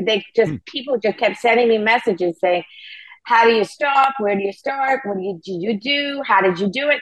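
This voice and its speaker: A woman speaks with a fairly high pitch and lively intonation at a moderate pace. It is an unremarkable speaking voice. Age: 60s. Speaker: founder of a sobriety community. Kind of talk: interview.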